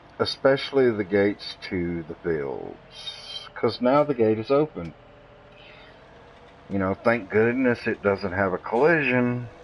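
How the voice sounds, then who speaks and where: Over noticeable background noise, a man talks at a fairly slow pace. His intonation is lively. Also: medium pitch for a man. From US South. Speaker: gaming streamer. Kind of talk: live gameplay stream commentary. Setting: live stream. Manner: casual, conversational.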